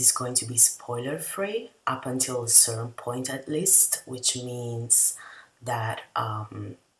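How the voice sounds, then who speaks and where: Noticeable background noise runs under speech delivered with a non-native accent. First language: not English. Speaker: video essayist / TV reviewer. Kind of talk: casual review monologue. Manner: hesitant, many fillers.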